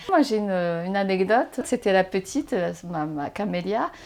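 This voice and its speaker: A woman talks at a moderate pace. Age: 40s. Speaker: blind mother, interviewee. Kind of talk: interview. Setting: at home. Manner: animated.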